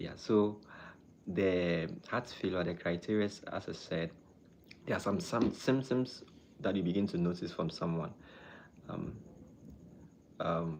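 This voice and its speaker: A man with a Ghanaian accent, fairly low in pitch with ordinary pitch variation, at a fairly slow pace with long, frequent pauses. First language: not English. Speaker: doctor. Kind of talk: live stream chat and health talk. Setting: live stream. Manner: halting.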